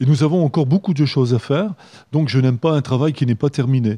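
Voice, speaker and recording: A man's somewhat breathy, dark, mellow voice at medium pitch, dry and close with no echo, against a quiet background. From northern France, Hazebrouck (French Flanders). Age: 70s. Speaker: mayor and election candidate. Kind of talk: radio interview. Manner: hesitant, many filler sounds.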